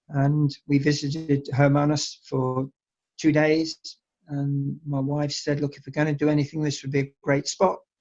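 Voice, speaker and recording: With an English accent, a man talks at a moderate pace and fairly high pitch in a monotone, flat intonation, his loudness swinging a lot. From England. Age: 60s. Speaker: winery owner. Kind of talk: interview. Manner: halting.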